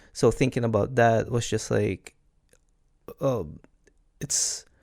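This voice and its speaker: A man with a Filipino accent speaks at a very slow pace in a medium pitch. Pitch variation is ordinary, and the recording is very clean with a silent background. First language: Tagalog. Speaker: podcaster. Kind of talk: casual chat. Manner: halting.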